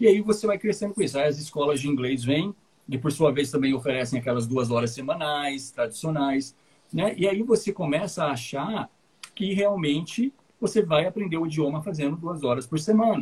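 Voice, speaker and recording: A man's fairly high, somewhat breathy voice moves at a moderate pace with lively intonation. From Paraná, Brazil. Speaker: English teacher and podcast host. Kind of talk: casual chat.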